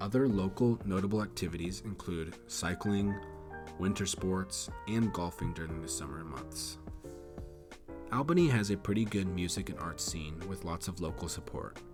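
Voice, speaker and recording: Over music in the background, the speaker uses lively intonation at a moderate pace. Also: man, very deep, low pitch for a man. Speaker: geography YouTuber. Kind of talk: documentary-style city narration.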